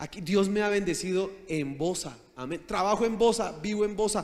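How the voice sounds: Speaking high for a man, he has a slightly mellow tone and keeps a moderate pace. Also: ordinary pitch variation.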